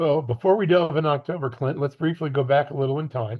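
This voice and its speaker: A somewhat breathy voice with an American accent, fairly even intonation and a very fast pace. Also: man. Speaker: sports podcast co-host. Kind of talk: interview with scripted intro.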